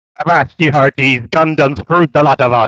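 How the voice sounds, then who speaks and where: In a put-on character voice, a man talks at a fairly high pitch. His pace is fairly quick. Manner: mock.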